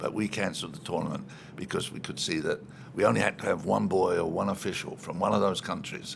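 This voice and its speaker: Noticeable background noise sits under the recording. A man speaks at a very fast pace. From London, East End. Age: 80s+. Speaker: retired soccer executive. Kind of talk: interview.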